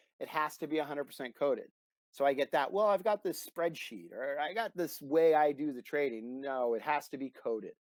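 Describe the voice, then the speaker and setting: A man speaks at a fairly quick clip in a fairly high voice, animated and with lively intonation, recorded dry and close with no echo. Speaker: trading systems broker, former floor trader. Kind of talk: casual interview, explaining a trading platform. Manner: fast.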